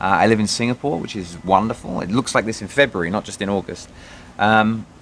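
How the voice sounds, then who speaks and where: A man talks at a very fast pace in a fairly low voice. His pitch shows ordinary variation. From Britain. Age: 30s. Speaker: vlogger. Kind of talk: personal video diary. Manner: halting, many fillers.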